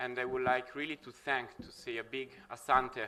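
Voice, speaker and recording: At a moderate pace and medium pitch, a man talks with an Italian accent. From Italy. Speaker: researcher and session moderator. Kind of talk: conference speech. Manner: halting, many fillers.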